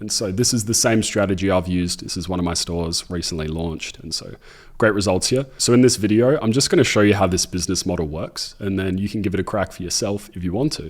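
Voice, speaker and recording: Speaking very fast, a man with an Australian accent has a fairly low pitch. His pitch variation is ordinary. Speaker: e-commerce entrepreneur and YouTuber. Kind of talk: tutorial. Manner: casual.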